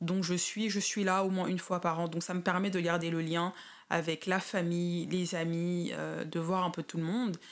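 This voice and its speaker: Speaking in a monotone, flat way, a woman keeps a fairly low pitch. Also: very clean recording, silent background. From Paris suburbs, Seine-Saint-Denis (93), France. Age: 30s. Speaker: expatriate interviewee. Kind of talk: interview. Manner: halting.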